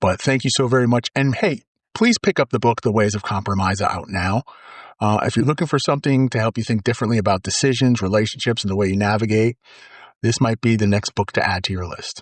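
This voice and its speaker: A man with a medium pitch races along very fast, his pitch varying in an ordinary way. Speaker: motivational podcast host. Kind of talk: motivational podcast monologue.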